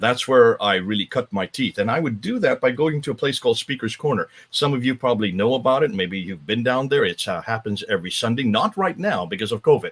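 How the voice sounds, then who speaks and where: Speaking very fast with hardly any pauses, a man with an American accent and a medium pitch makes very wide pitch swings in a dry, close sound with no echo. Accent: sounds American. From northern India (missionary family, Himalayas). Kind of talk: interview on a live stream.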